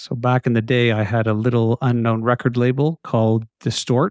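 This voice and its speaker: A man with a plain, everyday voice, medium pitch and a fairly quick pace. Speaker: podcast host. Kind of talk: casual interview.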